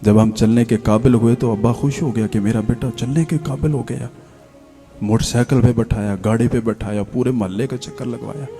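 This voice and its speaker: A man talks in a medium pitch with ordinary variation. Music is playing in the background. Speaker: Islamic scholar giving a sermon. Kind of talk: religious sermon (bayan) to an audience. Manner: emotional, preachy, heart-touching delivery.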